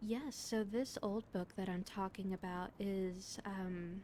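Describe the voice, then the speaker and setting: A woman with a medium pitch has a calm, soothing, dark and mellow tone that is somewhat breathy. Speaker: VTuber streamer reading books. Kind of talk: casual chat with stream viewers. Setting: livestream.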